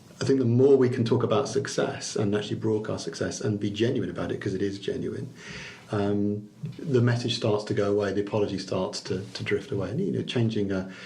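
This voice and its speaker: Amid noticeable background noise and audible room echo, a man talks fairly quickly in a fairly low pitch with fairly even intonation. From Liverpool, England. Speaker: chamber of commerce chief executive. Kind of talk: podcast interview. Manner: halting, many repeated words and fillers.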